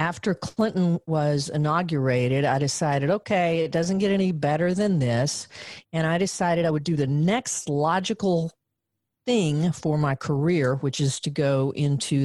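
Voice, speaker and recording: Speaking at a moderate pace with lively intonation, a woman with a Southern US accent has a very deep, low pitch and very even loudness on a very clean recording with a silent background. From US South, Western Arkansas. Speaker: journaling coach. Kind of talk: casual chat.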